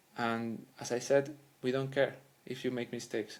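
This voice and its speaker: A man with a Spanish accent speaks at a medium pitch, his intonation fairly even. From Spain. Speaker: language coach. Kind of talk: educational monologue. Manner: halting.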